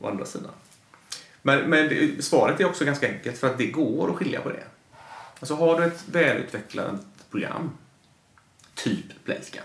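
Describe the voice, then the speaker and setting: A man at a fairly high pitch, with lively intonation, a moderate pace and long, frequent pauses, amid audible room echo and noticeable background noise. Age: 40s. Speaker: gambling industry commentator. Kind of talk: casual chat.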